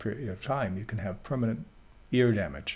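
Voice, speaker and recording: Audible room echo surrounds a man who talks at a very fast pace with a fairly low pitch. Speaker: Bible teacher. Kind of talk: lecture.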